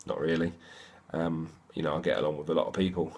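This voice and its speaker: A man with an English accent speaks in a very deep, low voice. His delivery is flat and monotone, and the recording is very clean with a silent background. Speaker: fitness boot camp trainer. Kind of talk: casual vlog monologue. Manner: fast; rambling, slurred words.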